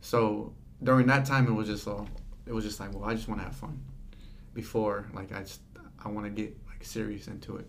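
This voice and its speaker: A man's fairly low, fairly quick voice with vocal fry, fairly even intonation, big swings in loudness, long, frequent pauses, and audible room echo. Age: young. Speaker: hardware store worker. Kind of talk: casual chat. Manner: halting.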